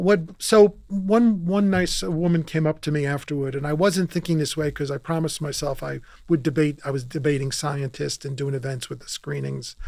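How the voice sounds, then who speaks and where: A man with an American accent talks at a moderate pace in a fairly high voice. His loudness swings widely while his pitch varies in an ordinary way. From New York. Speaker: author and filmmaker. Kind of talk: casual interview conversation. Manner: animated; halting with restarts.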